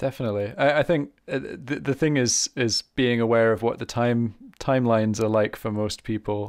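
In a very clean recording with a silent background, a man with a medium pitch speaks in an ordinary speaking voice at a moderate pace with ordinary pitch variation. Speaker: harmonica teacher and podcast host. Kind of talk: casual interview.

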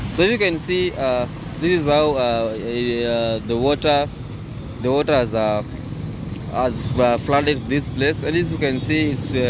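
The speech is fairly slow, broken by long, frequent pauses, with ordinary pitch variation. The sound is dry with no echo, though background noise is noticeable. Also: man. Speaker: travel vlogger. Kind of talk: casual vlog commentary. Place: street. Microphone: phone near.

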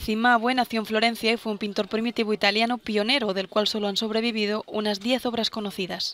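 Speaking at a fairly high pitch, a woman goes at a fairly quick pace with hardly any pauses. Her intonation is monotone and flat, and the sound is dry and close with no echo. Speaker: news presenter. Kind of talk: news reading. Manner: formal; steady, even-paced.

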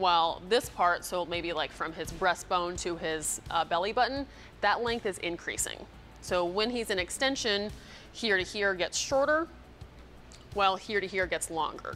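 With music playing behind her, a woman talks at a moderate speed, her pitch varying in an ordinary way. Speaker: fitness coach. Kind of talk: tutorial. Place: gym. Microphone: lapel.

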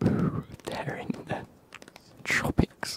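Someone soft-spoken whispers against noticeable background noise, with a dry sound and no echo. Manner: soft ASMR whisper.

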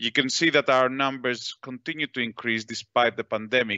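This man has a bright, sharp tone at a medium pitch and a moderate pace. The sound is dry and close with no echo, and his intonation is fairly even.

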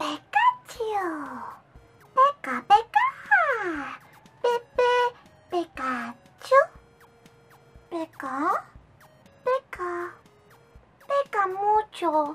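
A squeaky, extremely high put-on character voice moves at a very slow pace in a playful tone, with very wide pitch swings, long, frequent pauses and faint music in the background. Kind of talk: playful character imitation. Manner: cutesy, playful.

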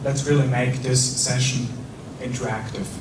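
A man talks in a monotone, flat way at medium pitch. Noticeable background noise runs behind him. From Switzerland. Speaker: corporate trainer. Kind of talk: training lecture. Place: hall.

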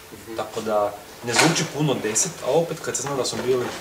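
At a moderate pace, a man talks over loud background noise. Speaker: interviewee. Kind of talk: interview answer. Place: hall. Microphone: camera far.

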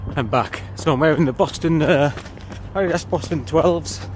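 With a northern English accent and a fairly high pitch, a man speaks at a moderate pace against noticeable background noise. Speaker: running vlogger. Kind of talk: vlog while running. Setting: outdoors. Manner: halting.

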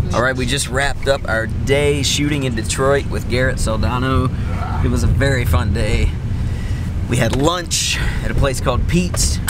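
The pace is moderate. Loud background noise sits under a dry sound with no echo. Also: man. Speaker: vlog host. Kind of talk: casual vlog chat. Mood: relaxed, cheerful. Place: car. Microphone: phone near.

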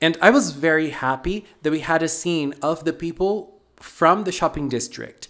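A man's voice at a fairly slow pace with ordinary pitch variation. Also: quiet background. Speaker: anime reviewer. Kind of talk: commentary. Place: home room. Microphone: handheld.

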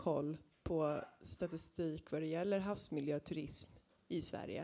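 Her tone is dark and mellow, at a fairly low pitch for a woman. She speaks at a moderate pace. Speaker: audience member asking questions; audience member. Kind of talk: audience question. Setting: stage with audience. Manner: halting. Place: classroom.

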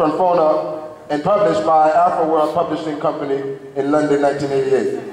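Audible room echo and light background noise surround speech delivered at a fairly quick pace. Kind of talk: formal speaker introduction read aloud. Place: hall.

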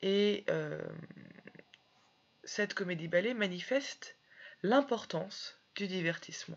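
A woman with a medium pitch and ordinary pitch variation talks very slowly, leaving long, frequent pauses. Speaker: French literature teacher. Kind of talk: educational lecture.

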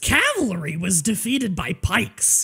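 A female-sounding put-on character voice speaks at medium pitch and a moderate pace.

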